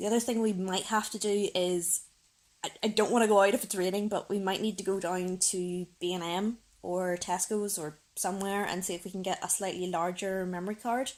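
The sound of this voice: A woman talks at a fairly quick pace in a medium pitch, her intonation fairly even and her tone slightly mellow.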